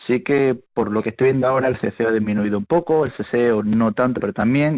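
Ordinary pitch variation marks this man's fairly quick pace. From eastern Andalusia, Spain (El Ejido, Almería). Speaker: university linguistics professor. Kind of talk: radio interview.

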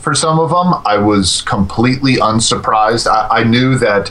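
There is noticeable background noise behind the voice. A man talks with ordinary pitch variation. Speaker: gaming forum writer. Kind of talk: casual chat.

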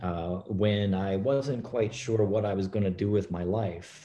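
Against a quiet background, a man with a fairly low pitch and a dark, mellow tone speaks at a fairly slow pace with fairly even intonation. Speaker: professor of pharmacology. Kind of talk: panel discussion.

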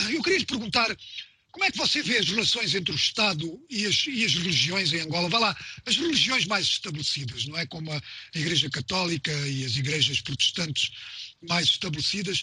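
Here a man's voice sits at a high pitch, with lively intonation and a fairly quick pace. Noticeable background noise runs underneath. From Mozambique. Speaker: radio host. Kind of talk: radio interview; news reading.

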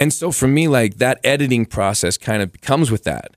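A man's voice with vocal fry and very wide pitch swings comes through a very clean recording with a silent background and a dry, close sound with no echo. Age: 30s. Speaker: comedian. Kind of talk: casual chat.

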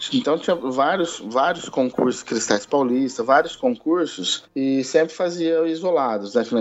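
With a normal speaking voice, a man talks at a fairly slow pace and fairly high pitch, his lively intonation matched by very even loudness and hardly any pauses. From Brazil, Ribeirão Preto, São Paulo interior. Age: 30s. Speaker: band conductor and association president. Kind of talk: casual interview.

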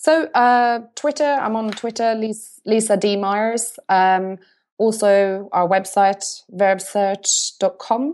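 In a Norwegian accent, a woman speaks at a very slow pace with a fairly high pitch against a quiet background. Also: ordinary pitch variation. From Norway. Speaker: marketing agency CEO. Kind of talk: interview.

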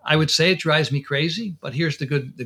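A man talks very fast in an American accent. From Connecticut, US. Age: 70s. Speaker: dentist and periodontist. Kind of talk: interview conversation, storytelling.

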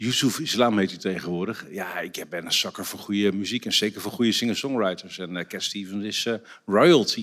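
This man has a normal speaking voice, fairly low in pitch, with ordinary pitch variation. He talks at a fairly quick pace with big swings in loudness. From Netherlands, Drenthe (Borger). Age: 50s. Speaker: trendwatcher and author. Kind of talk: casual chat. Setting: stage with audience.

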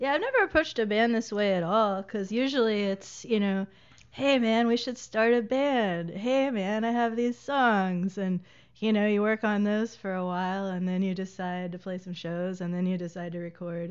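A woman with an American accent and an unremarkable speaking voice talks at a medium pitch and moderate pace, with ordinary pitch variation. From US South, Middle Tennessee (Lawrenceburg). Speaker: musician. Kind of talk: casual interview chat.

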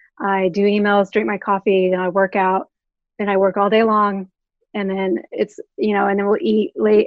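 A woman talks at a moderate pace and medium pitch in an unremarkable speaking voice. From Oklahoma. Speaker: record label creative director. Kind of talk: interview.

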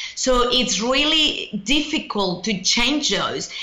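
A woman talks with lively intonation. Noticeable background noise runs behind her. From Mexico. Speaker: author and speaker. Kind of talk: casual interview.

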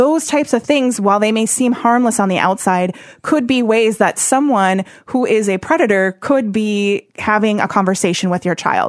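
Using a normal speaking voice, a woman with an American accent and a fairly high pitch talks at a moderate pace, with ordinary pitch variation and very even loudness. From Wisconsin, Oshkosh. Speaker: anti-human trafficking nonprofit worker. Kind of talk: casual interview chat. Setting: studio.

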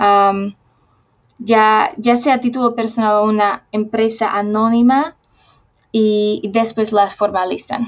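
Very slowly and at very even loudness, a woman speaks in a fairly high pitch with fairly even intonation. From Slovakia. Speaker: researcher on social responsibility. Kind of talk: interview. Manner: halting.

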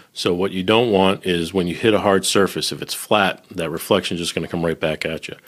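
Speaking with an American accent, a man talks at a fairly quick pace with hardly any pauses. His pitch is very deep and low. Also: fairly even intonation. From Boston. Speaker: recording engineer and podcaster. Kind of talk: casual chat.

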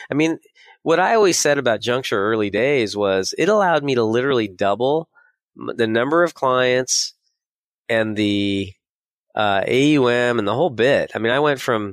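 A man with a Californian accent and ordinary pitch variation. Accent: Californian American. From US West Coast (San Diego, California). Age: 50s. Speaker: financial advisor and software company founder. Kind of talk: interview.

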